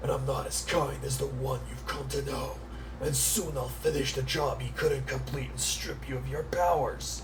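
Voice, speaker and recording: A gruff, menacing put-on character voice from a man, over loud background noise. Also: moderate pace. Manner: menacing, gruff.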